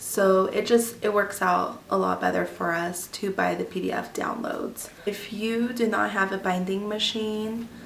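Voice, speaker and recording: Noticeable background noise and audible room echo surround the recording. A woman speaks at a fairly slow pace. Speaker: homeschooling mother and vlogger. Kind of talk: tutorial. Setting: at home. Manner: casual, many filler ums.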